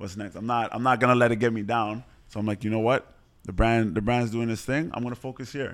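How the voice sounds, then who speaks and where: Talking at a very fast pace, a man keeps a fairly even intonation. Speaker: fitness coach and run club organizer. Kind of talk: casual chat. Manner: quiet.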